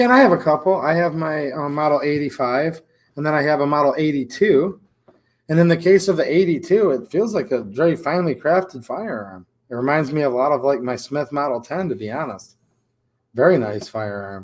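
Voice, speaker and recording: Fairly quick, lively speech from a man with a Michigan accent and a fairly high pitch for a man. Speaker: gun YouTuber. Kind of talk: livestream chat. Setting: gun shop.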